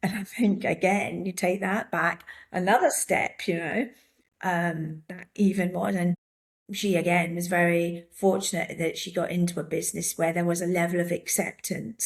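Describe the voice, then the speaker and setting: A woman with an English accent, fairly low pitch, fairly even intonation and a moderate pace. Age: 60s. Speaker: handbag designer, former tech executive. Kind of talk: interview conversation.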